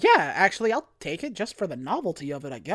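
Someone reads aloud here, using a natural voice.

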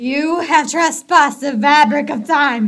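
A put-on character voice, high in pitch, moves at a fairly slow pace. The recording is very clean and the background silent. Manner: solemn, commanding.

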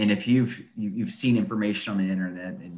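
Pitch shifts in an ordinary way. The delivery moves fairly quickly. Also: man. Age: 40s. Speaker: podcast host. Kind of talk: interview. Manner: animated.

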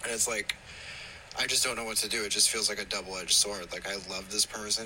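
Over noticeable background noise, a man talks at a very fast pace. His fairly low pitch stays monotone and flat. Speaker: listener sending voice note. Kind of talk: voice message.

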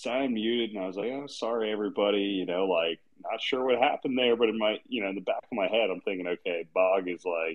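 A man speaks at a fast pace with a fairly low pitch. His pitch variation is ordinary.

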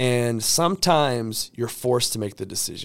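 The recording is very clean with a silent background. A man speaks at medium pitch and a moderate pace. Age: 30s. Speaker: motivational podcast host, entrepreneur. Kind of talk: motivational monologue. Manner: animated.

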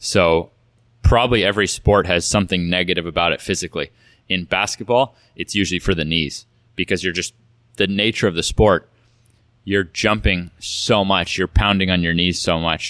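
With an American accent, a man speaks at a moderate pace in a very deep, low voice with a bright, sharp tone and fairly even intonation, recorded dry and close with no echo on a very clean recording with a silent background. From California. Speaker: basketball athlete and fitness coach. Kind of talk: interview conversation.

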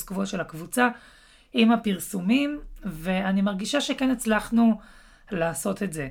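A woman speaks at a fairly slow pace with lively intonation. Her voice is somewhat breathy and medium in pitch. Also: very clean recording, silent background. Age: 30s. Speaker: podcast host, digital marketing consultant. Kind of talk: solo podcast talk.

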